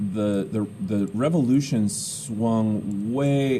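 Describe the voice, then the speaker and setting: There is audible room echo around this man's dark, mellow tone, and his pitch varies in an ordinary way. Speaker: teacher. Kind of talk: lecture. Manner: loud.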